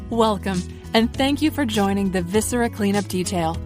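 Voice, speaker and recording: A woman's speech comes at a fairly quick pace. Behind her, there is music. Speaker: voice actor. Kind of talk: corporate HR training narration.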